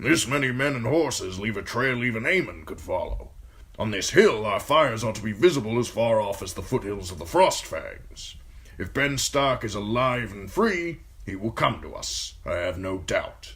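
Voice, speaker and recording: A man's gruff, put-on character voice at medium pitch, lively intonation, moderate pace. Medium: read story. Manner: authoritative, brusque.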